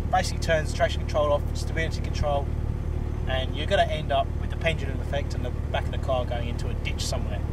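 A man talks at a very fast pace. Loud background noise surrounds a dry sound with no echo. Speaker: car reviewer. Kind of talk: casual car review walkthrough. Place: car. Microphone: camera far.

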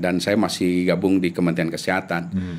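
A man is speaking. His voice is very deep and low-pitched. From Indonesia. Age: 40s. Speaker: epidemiologist; guest. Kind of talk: interview; interview answer. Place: studio. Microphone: studio mic.

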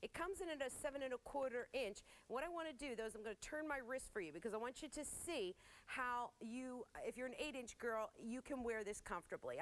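The woman's voice is high-pitched, with lively intonation. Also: fairly quick pace. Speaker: TV shopping host. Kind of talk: product sales presentation. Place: studio. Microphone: lapel.

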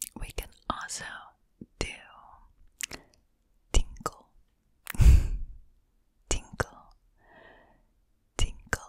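Whispering from a woman, very slow, broken by long, frequent pauses. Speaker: ASMR content creator. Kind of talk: ASMR whisper for sleep. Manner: repeated trigger words, slow. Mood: playful, smiling. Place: home room. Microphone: studio mic.

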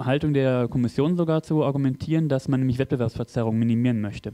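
A man's dark, mellow voice shows ordinary pitch variation, with quiet all around. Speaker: audience member and local politician; audience member, local politician. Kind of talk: Q&A question from the floor. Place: hall. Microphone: handheld.

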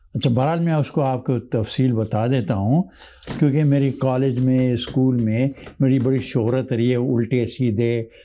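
A man speaks at a very slow pace with fairly even intonation. His loudness stays very even over light background noise. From Pakistan (born Hyderabad Deccan, India); Pakistan. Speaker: retired lawyer, immigrant; retired lawyer. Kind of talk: interview storytelling. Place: studio. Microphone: lapel.

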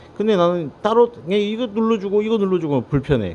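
Very wide pitch swings at a fairly quick clip. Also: man. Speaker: drone maintenance technician. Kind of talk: casual instructional talk to camera.

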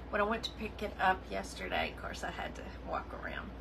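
Fairly rapid talk from a woman against noticeable background noise. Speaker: crafting livestream host. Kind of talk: casual livestream chat. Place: home room. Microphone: phone near.

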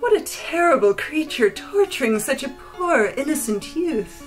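Over clear background music, a high-pitched, put-on character voice speaks at a moderate pace. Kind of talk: scolding the evil creature. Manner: gentle, sympathetic.

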